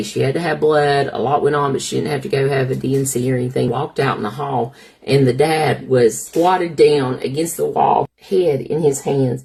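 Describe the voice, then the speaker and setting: A woman speaks in an Appalachian accent. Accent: Appalachian Southern. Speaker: labor and delivery nurse. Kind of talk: personal storytelling to camera.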